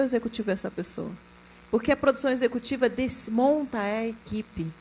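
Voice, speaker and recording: High-pitched female speech, moderately paced, with ordinary pitch variation. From Rio de Janeiro state, Brazil (Duque de Caxias). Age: 40s. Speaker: film executive producer. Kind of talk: panel discussion.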